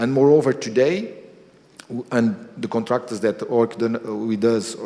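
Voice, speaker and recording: A man with a Portuguese accent speaks at medium pitch in a dark, mellow tone, his pitch varying in an ordinary way. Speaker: energy company executive. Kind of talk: speech. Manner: halting.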